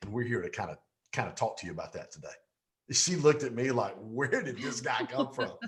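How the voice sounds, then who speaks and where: With a Southern US accent, a man talks at a fairly quick pace, his loudness rising and falling sharply. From Pontiac, Michigan and Georgia, US. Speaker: business coach. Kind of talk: interview. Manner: animated.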